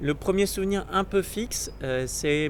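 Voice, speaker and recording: A man speaks at a fairly slow pace. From southern France, Marseille. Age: 30s. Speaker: Jesuit priest-to-be. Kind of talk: personal testimony. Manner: hesitant, many fillers.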